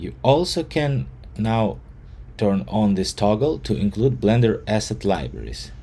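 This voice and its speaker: With a non-native accent, a man speaks at a fairly slow pace in a dark, mellow tone, his voice showing vocal fry and very wide pitch swings. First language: not English. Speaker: software developer. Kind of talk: tutorial. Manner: halting.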